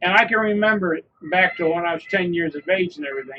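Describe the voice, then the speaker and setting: A man is speaking. His intonation is lively. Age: 70s. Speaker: podcast co-host. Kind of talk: casual political chat.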